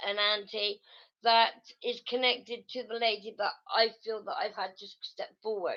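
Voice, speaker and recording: In a British accent, a woman with a fairly high pitch talks at a fairly slow pace with monotone, flat intonation. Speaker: psychic medium. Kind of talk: live mediumship reading. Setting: livestream. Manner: halting, repeats words.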